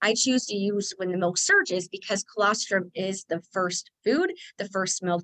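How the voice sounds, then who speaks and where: A woman with an unremarkable speaking voice talks at a moderate pace with ordinary pitch variation. The sound is dry and close with no echo. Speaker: lactation consultant and nurse. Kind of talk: webinar presentation. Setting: online webinar.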